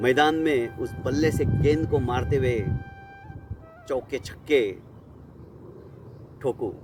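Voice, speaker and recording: With music in the background, a man speaks at medium pitch with ordinary pitch variation. He takes long, frequent pauses. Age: 60s. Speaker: storyteller. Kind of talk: personal storytelling.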